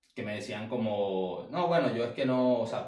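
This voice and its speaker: The pitch varies in an ordinary way in an unremarkable speaking voice. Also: man. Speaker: sales coach. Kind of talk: online class.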